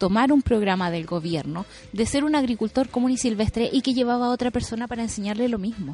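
A woman speaks with a Chilean accent. Her pitch is fairly high. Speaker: radio news panelist. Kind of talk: radio panel discussion.

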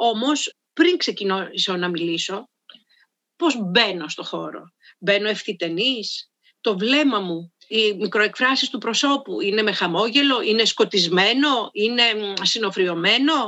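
A woman with an unremarkable speaking voice talks at a fairly slow pace, her fairly high pitch rising and falling with lively intonation. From Greece, Karditsa. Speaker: voice and public speaking coach, soprano. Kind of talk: interview.

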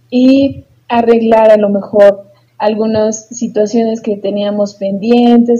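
Very slowly, a woman speaks at a fairly high pitch in a dark, mellow, somewhat breathy tone with fairly even intonation. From Mexico, Tulancingo, Hidalgo. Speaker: psychologist and podcast co-host. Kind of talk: casual chat.

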